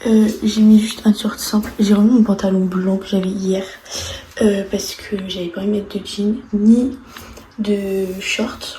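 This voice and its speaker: A woman at a medium pitch speaks at a very slow pace in a monotone, flat intonation. Audible room echo and noticeable background noise fill the recording. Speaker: vlogger. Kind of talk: vlog narration. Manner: whispering.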